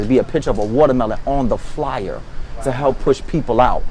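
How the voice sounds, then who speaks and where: A man's voice over noticeable background noise. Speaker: podcast co-host. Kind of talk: casual discussion.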